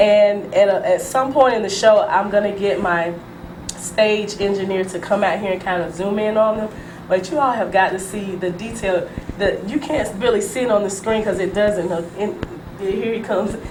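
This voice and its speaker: Amid noticeable background noise and audible room echo, a woman speaks at medium pitch and a moderate pace with ordinary pitch variation. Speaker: talk show host. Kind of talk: TV talk show interview. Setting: TV studio. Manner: animated.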